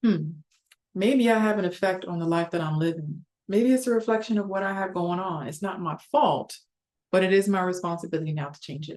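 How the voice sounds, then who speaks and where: A calm tone at a fairly quick pace, with big swings in loudness. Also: woman, medium pitch for a woman, ordinary pitch variation. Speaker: psychologist and relationship coach. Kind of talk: educational talk. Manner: fast.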